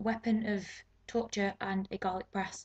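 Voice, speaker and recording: A woman with a British accent speaks at a medium pitch, somewhat breathy, with fairly even intonation. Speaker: beauty vlogger. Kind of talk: casual talk to camera. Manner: fast, awkward.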